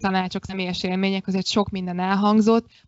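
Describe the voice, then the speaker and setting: Her medium-pitched voice holds a monotone, flat intonation as this woman speaks. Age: 30s. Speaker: yoga instructor. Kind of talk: casual chat.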